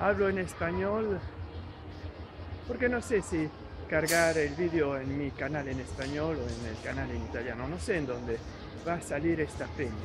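Over music in the background, a man speaks with long, frequent pauses. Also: moderate pace. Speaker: vlogger. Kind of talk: casual vlog chat. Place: shop. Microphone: phone near.

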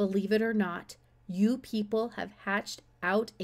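Using a put-on character voice, a woman speaks at a medium pitch and a moderate pace.

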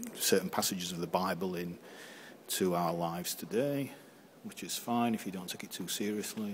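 With a low pitch, a slightly mellow tone and ordinary pitch variation, a man speaks.

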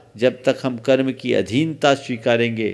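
At a very slow pace, a man speaks. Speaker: Jain monk. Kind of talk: religious discourse answering a question. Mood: calm, earnest teaching. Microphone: podium.

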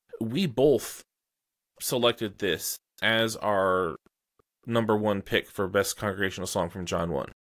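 A man with a fairly low pitch and ordinary pitch variation, over a quiet background. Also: fairly slow pace. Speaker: podcast host. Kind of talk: interview. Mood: calm, friendly. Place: home room. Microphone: studio mic.

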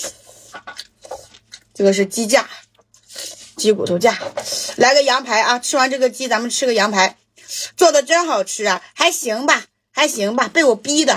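Over a quiet background, a woman with a high pitch talks at a very slow pace, her loudness swinging widely. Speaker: mukbang streamer. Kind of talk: casual livestream chat while eating, answering viewer questions. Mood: relaxed, joking. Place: home room.

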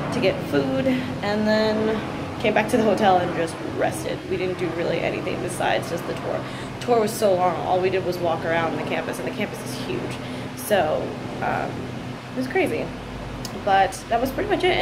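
A woman at a moderate pace, with long, frequent pauses, against loud background noise. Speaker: vlogger. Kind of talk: casual vlog chat. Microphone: phone near.

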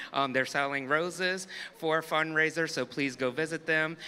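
Light background noise behind a man speaking at a moderate pace. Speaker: stadium announcer. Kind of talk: public announcements. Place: stadium.

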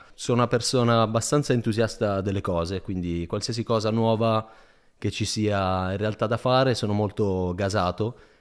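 A man with a fairly low pitch speaks at a moderate pace in a very clean recording with a silent background. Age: 20s. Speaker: PhD student. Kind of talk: casual interview chat. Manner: animated.

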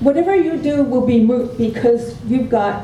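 A woman's high-pitched voice at a moderate pace, ordinary pitch variation, noticeable background noise and audible room echo. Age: 70s. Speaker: public commenter. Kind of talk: public hearing testimony. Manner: impassioned.

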